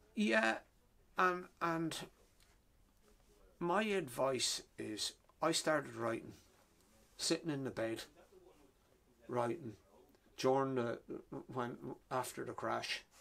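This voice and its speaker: A man in a Wexford Irish accent, bright, sharp tone at medium pitch, very slow pace with long, frequent pauses. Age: 60s. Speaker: author. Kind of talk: interview. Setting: bookshop. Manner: halting, repeats words.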